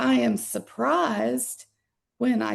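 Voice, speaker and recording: This is a woman with a Southern US accent. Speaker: workshop participant. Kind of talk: group discussion sharing.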